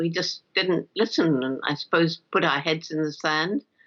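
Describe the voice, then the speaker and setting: In a British accent, a woman speaks at a moderate pace, her fairly low pitch showing ordinary variation. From England. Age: 80s+. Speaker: primatologist. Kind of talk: interview answer.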